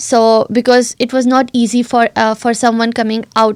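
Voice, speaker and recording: A woman with a non-native accent talks at a fairly high pitch in a monotone, flat delivery. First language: not English. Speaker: recent graduate guest. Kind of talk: interview. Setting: studio.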